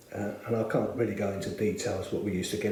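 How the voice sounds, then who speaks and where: A man is speaking. Room echo and background noise are both audible. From South London, Bermondsey. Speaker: church member. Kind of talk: testimony. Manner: hesitant, many filler words.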